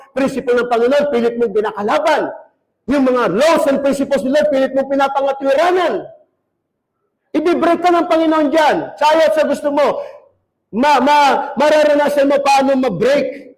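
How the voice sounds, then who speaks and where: With audible room echo, a man speaks at a moderate pace in an extremely high pitch, his tone animated and his loudness very even. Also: ordinary pitch variation. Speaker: pastor. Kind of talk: sermon.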